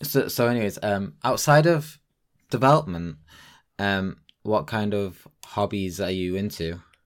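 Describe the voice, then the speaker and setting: Recorded very cleanly against a silent background, a man with a normal speaking voice and fairly low pitch talks at a fairly slow pace with lively intonation. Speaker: podcast host. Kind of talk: casual interview chat.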